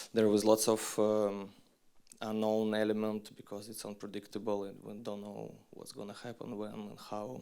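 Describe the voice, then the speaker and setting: This man talks at a fairly slow pace with a Russian accent and a fairly low pitch. His intonation is flat and monotone. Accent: non-native English, Russian. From Western Siberia, Russia. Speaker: documentary filmmaker. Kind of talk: festival Q&A talk. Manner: halting, many fillers and restarts.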